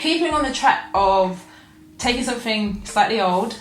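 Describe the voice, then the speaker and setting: A moderate pace amid audible room echo and noticeable background noise. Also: woman. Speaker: sewing vlogger. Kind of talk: casual vlog show-and-tell.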